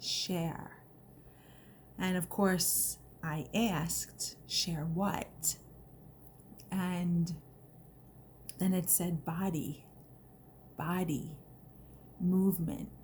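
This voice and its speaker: A woman's fairly low voice with vocal fry and an American accent, very slow, fairly even in intonation, with long, frequent pauses. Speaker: personal growth vlogger. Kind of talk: personal vlog testimony. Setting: recorded video, not live. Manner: emotional, voice may crack; halting, many fillers.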